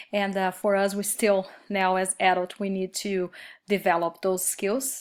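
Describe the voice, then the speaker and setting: A woman with a Brazilian Portuguese accent at a fairly slow pace, on a very clean recording, silent background. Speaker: Spanish teacher. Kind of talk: recorded course reflection. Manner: hesitant, many fillers.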